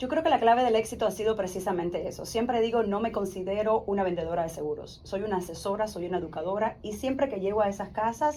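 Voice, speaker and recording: A woman talks at a very fast pace with a medium pitch. There are hardly any pauses. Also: ordinary pitch variation. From Cuba. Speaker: insurance advisor and former teacher. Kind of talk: interview testimony.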